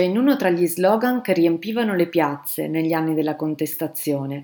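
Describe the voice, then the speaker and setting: A woman with an unremarkable speaking voice talks at a moderate pace, her fairly low pitch carrying lively intonation. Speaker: historian. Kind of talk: scripted narration.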